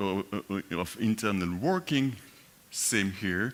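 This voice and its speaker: A man's plain, everyday voice with lively intonation at a fairly slow pace, on a very clean recording with a silent background. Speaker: conference speaker. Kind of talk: conference talk. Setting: conference stage with audience.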